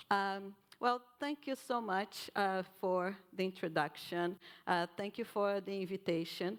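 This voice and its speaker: This woman speaks at a medium pitch with a Brazilian accent. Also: ordinary pitch variation, fairly slow pace. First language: Portuguese. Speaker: professor of nutrition, keynote speaker. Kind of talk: keynote lecture.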